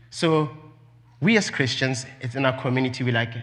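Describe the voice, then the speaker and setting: A man with a fairly high pitch and a non-native accent, at a moderate pace, in audible room echo. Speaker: preacher. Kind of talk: sermon.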